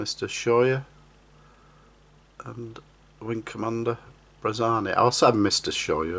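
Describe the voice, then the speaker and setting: A man with a Yorkshire accent speaks at a fairly slow pace and medium pitch, his intonation fairly even. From Yorkshire, northern England. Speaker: scale model builder. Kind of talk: hobby tutorial.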